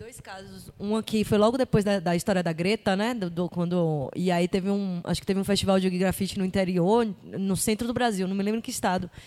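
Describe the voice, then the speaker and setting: A fairly quick pace with hardly any pauses. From Bahia, Brazil. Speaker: visual street artist. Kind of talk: audience question and comment.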